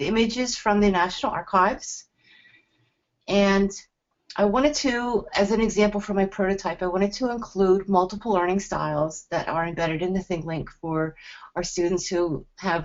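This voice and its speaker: A woman speaks in a New Jersey accent at a moderate pace. Her pitch is medium, with ordinary variation. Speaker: teacher presenting a lesson tool. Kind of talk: webinar presentation.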